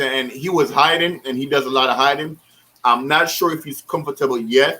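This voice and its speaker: This man talks at a fairly quick pace in a bright, sharp tone with a fairly high pitch and ordinary pitch variation. His loudness swings widely. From the Caribbean islands. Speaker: aquarium hobbyist YouTuber. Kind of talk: casual chat on a livestream. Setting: online livestream call on laptop. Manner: casual, many fillers and repetitions.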